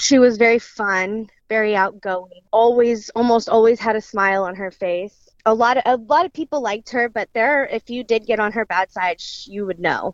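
Using an unremarkable speaking voice, a woman with an American accent talks at a moderate pace with hardly any pauses. Her pitch is fairly high with ordinary variation, and the sound is dry and close with no echo. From central Illinois. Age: 20s. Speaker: daughter of murder victim, daycare worker. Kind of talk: interview testimony.

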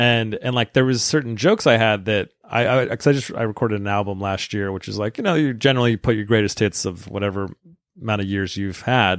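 Talking at a very fast pace, a man with a fairly low voice uses ordinary pitch variation. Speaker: stand-up comedian. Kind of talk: casual chat.

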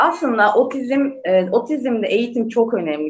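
The voice belongs to a woman. Her pitch swings very widely. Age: 30s. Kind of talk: interview.

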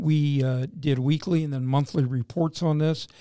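Recorded very cleanly against a silent background, a man with an American accent talks at a fairly quick pace in a fairly high pitch, his dark, mellow tone showing ordinary pitch variation. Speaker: retired police chief and sheriff candidate. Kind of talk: interview.

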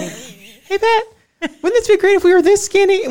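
The voice is a put-on character. It sits extremely high in pitch. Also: moderate pace.

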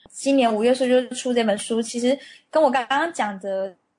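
A woman speaks at a very fast pace. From Taiwan. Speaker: marketing manager at a cosmetics company. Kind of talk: interview.

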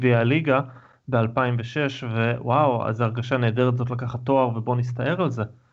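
A man with a normal speaking voice, medium pitch and moderate pace. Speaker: podcast co-host. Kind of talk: casual chat. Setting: video call.

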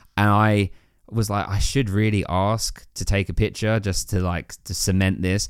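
A man with an English accent and fairly low pitch speaks in a monotone, flat intonation at a moderate pace, on a very clean recording with a silent background. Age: 30s. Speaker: podcaster. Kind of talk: casual chat.

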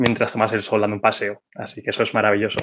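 A fairly quick pace from a male speaker. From Zaragoza, Spain. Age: 30s. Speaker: podcaster and project manager. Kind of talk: casual interview.

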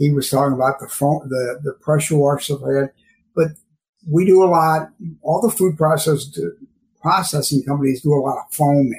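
Pacing is moderate. The voice sounds somewhat breathy and varies in pitch in an ordinary way. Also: man. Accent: American. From St. Louis, Missouri. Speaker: cleaning chemicals and sanitation specialist. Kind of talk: casual interview.

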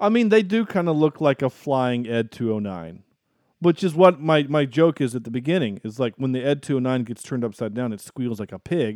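A man with a slight Southern US accent talks at a fairly quick pace and medium pitch, his intonation lively. The sound is dry and close with no echo, against a quiet background. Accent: mild Southern US. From US South. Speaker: podcast host, film reviewer. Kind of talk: casual chat.

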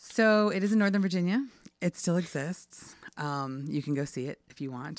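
Over a very clean recording with a silent background, a woman with an American accent talks at a fairly quick pace with lively intonation. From Washington DC area. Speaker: theater company director. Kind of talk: casual storytelling.

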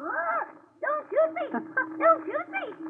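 In a put-on character voice, someone shouts at an extremely high pitch. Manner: yelling, squawking.

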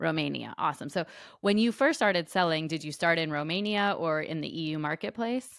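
A woman speaks in a normal speaking voice at a fairly low pitch and a fairly quick pace. The pitch variation is ordinary, on a very clean recording with a silent background. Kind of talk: casual interview.

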